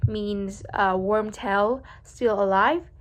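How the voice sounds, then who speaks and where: A woman of medium pitch speaks with a Vietnamese accent in a bright, sharp tone. Her intonation is fairly even, and the recording is very clean with a silent background. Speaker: vlogger practicing English speaking. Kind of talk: speaking practice monologue. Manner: halting, many fillers and restarts.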